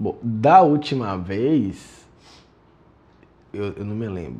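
With a dark, mellow tone and fairly low pitch, a man speaks in a drawl. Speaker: actor in a short film. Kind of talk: acted dialogue. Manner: slow, dazed, stoned-sounding drawl. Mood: hesitant, searching memory. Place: home room.

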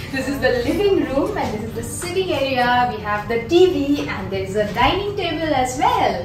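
Speech at a moderate pace carries audible room echo and noticeable background noise. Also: woman. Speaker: travel vlogger. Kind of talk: casual vlog chat. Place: home room.

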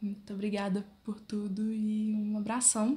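Somewhat breathy and fairly high in pitch, a woman speaks at a very slow pace. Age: 20s. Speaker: fashion design student and drawing vlogger. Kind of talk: casual vlog intro. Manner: halting.

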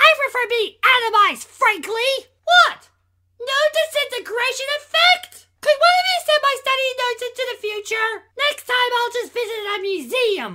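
A put-on character voice with an extremely high pitch. The pace is moderate. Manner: prim, inquisitive.

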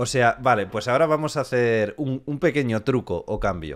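A man at medium pitch, speaking at a fairly slow pace over a quiet background. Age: 20s. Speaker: beatboxer and YouTuber; interview host. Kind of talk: casual chat. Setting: live stream. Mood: relaxed, friendly. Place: home room. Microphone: studio mic.

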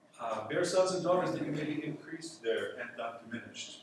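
Strong room echo surrounds a man's high-pitched voice over light background noise. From US, military family, mostly New Jersey. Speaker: priest and missionary; priest giving talk. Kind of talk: retreat talk. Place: hall. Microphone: camera far.

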